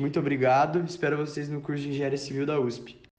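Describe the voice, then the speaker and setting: A man's fairly high-pitched voice at a fairly quick pace, with audible room echo. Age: 20s. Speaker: engineering student. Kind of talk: testimony. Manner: halting, with fillers and repetitions.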